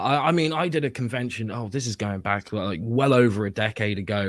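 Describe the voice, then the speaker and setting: A British accent at a moderate pace, with ordinary pitch variation and noticeable background noise. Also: man. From southern England, Bournemouth. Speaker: comic book writer. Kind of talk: casual chat.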